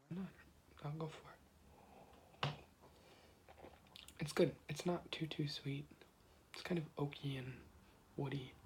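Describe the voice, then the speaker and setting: With an American accent, a man talks at a moderate pace in a fairly high, somewhat breathy voice, his intonation flat and monotone, leaving long, frequent pauses. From US Midwest, Ohio. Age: 20s. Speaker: ASMR creator. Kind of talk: ASMR casual chat. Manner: soft-spoken.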